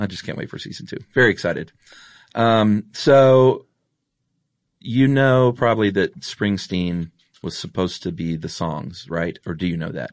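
A man with a normal speaking voice and an American accent speaks at a fairly low pitch. His pace is moderate against a quiet background. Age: 40s. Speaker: podcast host. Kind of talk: casual chat; scripted narration.

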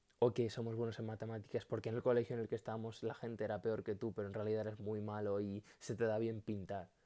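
Delivered very fast with hardly any pauses, a man's fairly low voice has a dark, mellow tone and monotone, flat intonation. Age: 20s. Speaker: solo podcaster. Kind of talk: casual monologue. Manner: halting.

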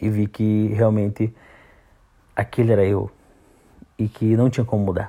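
A man speaks in a fairly low pitch with a dark, mellow tone. His intonation is monotone and flat, and the recording is very clean with a silent background. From Santa Catarina, southern Brazil. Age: 30s. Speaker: podcaster. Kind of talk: personal monologue podcast.

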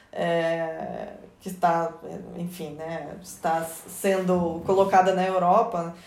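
A woman speaks very slowly at a fairly low pitch, with monotone, flat intonation and big swings in loudness. Audible room echo surrounds her voice. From Georgia (former Soviet Union). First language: Russian (speaking Portuguese). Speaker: migration researcher. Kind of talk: radio interview.

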